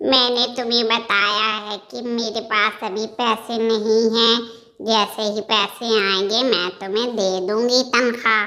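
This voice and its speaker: A woman puts on a cartoonish character voice at a fairly high pitch. Her delivery is very slow, with monotone, flat intonation. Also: hardly any pauses. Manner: haughty, scolding.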